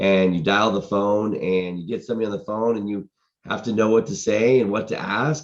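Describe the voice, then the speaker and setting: Here is an unremarkable speaking voice, a man's, fairly low in pitch. He keeps a moderate pace against a quiet background. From Boston, United States. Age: 50s. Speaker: real estate entrepreneur and sales coach, podcast host. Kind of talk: podcast talk to camera, motivational business coaching.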